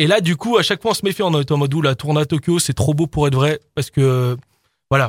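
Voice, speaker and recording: A somewhat breathy man speaks at a very fast pace with a fairly high pitch and ordinary pitch variation. The sound is dry and close with no echo, in a very clean recording with a silent background. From France, Isère (near Lyon). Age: 20s. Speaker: DJ and music producer. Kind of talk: radio interview.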